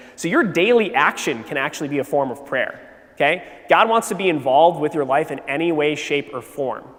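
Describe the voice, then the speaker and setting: A fairly high-pitched man with lively intonation at a fairly quick pace, over noticeable background noise. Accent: American. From Wisconsin, US Midwest. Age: 30s. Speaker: teacher giving a faith talk at a youth retreat. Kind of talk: faith testimony talk to teenagers. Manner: casual, halting with fillers.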